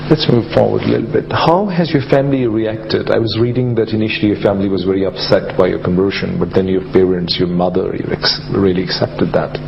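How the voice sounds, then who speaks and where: Over noticeable background noise, a man with a fairly low pitch talks at a very fast pace with hardly any pauses. His intonation is lively. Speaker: interviewer. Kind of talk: interview.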